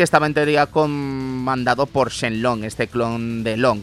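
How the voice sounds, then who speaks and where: Music in the background behind a man's voice at a medium pitch. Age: 30s. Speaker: radio host. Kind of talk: casual chat. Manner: animated.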